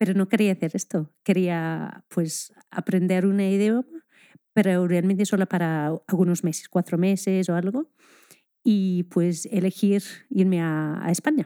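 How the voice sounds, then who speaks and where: A woman with an English accent talks at a fairly slow pace in a medium pitch, her tone dark and mellow and her intonation fairly even, on a very clean recording with a silent background and a dry, close sound with no echo. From Scotland. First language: English (speaking Spanish). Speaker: primary school teacher. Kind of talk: casual interview chat.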